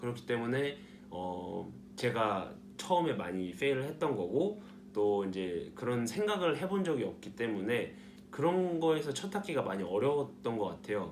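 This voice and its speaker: A man of medium pitch talks with very wide pitch swings, and audible room echo surrounds his voice. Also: moderate pace. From South Korea. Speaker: nursing student vlogger. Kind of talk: casual vlog talk. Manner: hesitant, many fillers.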